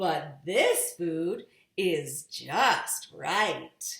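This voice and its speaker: Putting on a character voice, a woman speaks at a medium pitch. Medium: read story. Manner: picky, judging each thing in turn.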